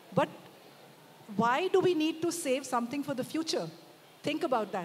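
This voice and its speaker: Over light background noise, a woman speaks with lively intonation. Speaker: speaker. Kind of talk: panel discussion answer. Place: stage. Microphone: handheld.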